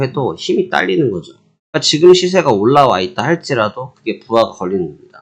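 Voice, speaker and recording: A man with a fairly high pitch and vocal fry makes very wide pitch swings. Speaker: futures trading market commentator. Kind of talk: market briefing.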